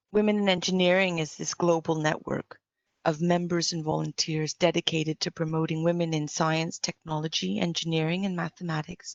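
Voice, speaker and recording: A woman's fairly low, monotone voice with flat intonation, delivered at a fairly quick pace. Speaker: electrical and biomedical engineer, conference speaker. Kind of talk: conference talk with slides.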